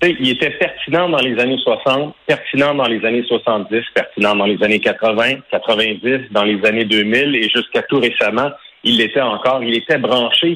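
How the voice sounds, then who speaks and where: Speaking at a fairly slow pace with ordinary pitch variation, a man talks with a Quebec accent. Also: medium pitch for a man, very even loudness. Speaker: hockey play-by-play announcer. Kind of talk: testimony.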